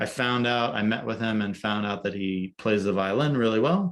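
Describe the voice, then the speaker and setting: This man talks at a moderate pace. His voice is fairly low-pitched. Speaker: photographer and business coach. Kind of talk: coaching call presentation. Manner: monotone; halting, many fillers.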